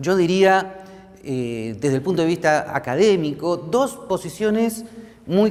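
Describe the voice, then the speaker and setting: Very slowly and at a high pitch, a man speaks with very wide pitch swings, audible room echo and noticeable background noise. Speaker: professor. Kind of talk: lecture. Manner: many fillers (este, eh).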